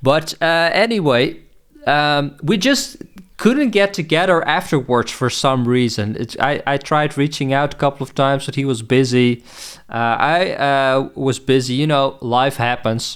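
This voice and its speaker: A man's fairly high pitch at a fairly slow pace, with ordinary pitch variation. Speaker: music producer and podcast host. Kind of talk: casual podcast talk. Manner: halting, many fillers and repeats.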